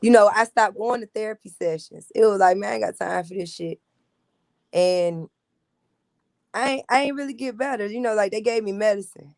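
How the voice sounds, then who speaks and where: A woman's animated, fairly high voice at a fairly quick pace, with ordinary pitch variation, big swings in loudness, long and frequent pauses, and a dry, close sound with no echo. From US South, Tuskegee, Alabama. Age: 30s. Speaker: military veteran. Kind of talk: interview testimony.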